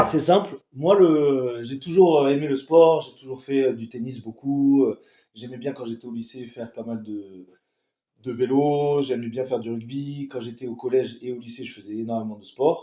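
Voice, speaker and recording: With big swings in loudness, a man speaks in a dark, mellow tone. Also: medium pitch for a man, ordinary pitch variation, moderate pace. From southern France (Toulon). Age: 20s. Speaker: coaching client. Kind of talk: interview testimony. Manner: hesitant, many fillers.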